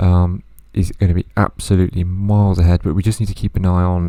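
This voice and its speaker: Very clean recording with a silent background, where a man talks quietly at a moderate pace in a very deep, low voice. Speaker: gaming youtuber. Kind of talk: gameplay commentary.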